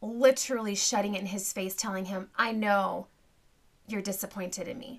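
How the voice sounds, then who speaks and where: A woman speaks in an animated tone. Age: 40s. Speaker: podcast host and homesteading mom. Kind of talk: casual chat.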